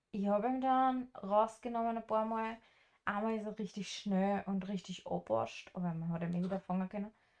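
A woman talks in a plain, everyday voice at a moderate tempo. Her pitch is medium and her intonation fairly even. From rural farm upbringing, German-speaking. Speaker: travel podcast co-host and house sitter. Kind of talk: casual chat.

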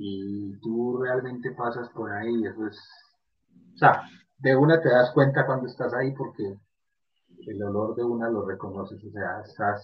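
Speaking with a Colombian paisa accent, a man of medium pitch talks at a fairly slow pace with fairly even intonation. His pauses are long and frequent. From Colombia, Medellín. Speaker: podcast collaborator. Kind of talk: casual chat.

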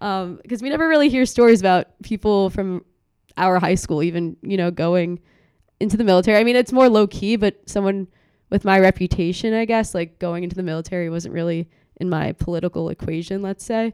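An unremarkable speaking voice from a woman with an American accent, medium pitch, ordinary pitch variation and a fairly quick pace, in a dry, close recording with no echo and a very clean, silent background. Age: young. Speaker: student political activist. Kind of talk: interview.

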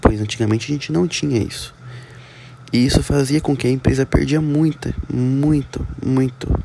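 Against noticeable background noise, a man speaks at a moderate pace with a medium pitch and fairly even intonation. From interior of São Paulo, Brazil. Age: 20s. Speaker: business student. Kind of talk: student presentation. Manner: halting.

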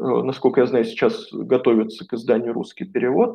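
This is an unremarkable speaking voice from a man at medium pitch. He talks at a fairly quick pace with lively intonation. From Moscow, Russia. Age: 40s. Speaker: coach and philologist, former priest. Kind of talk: interview.

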